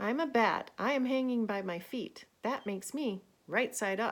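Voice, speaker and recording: Using a squeaky put-on character voice, a woman projects at a fairly high pitch and a moderate pace. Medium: read story.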